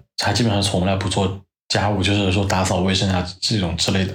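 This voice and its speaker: Somewhat breathy and fairly low-pitched, a man speaks at a fairly quick pace. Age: 30s. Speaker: podcast guest, host's longtime friend. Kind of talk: casual chat.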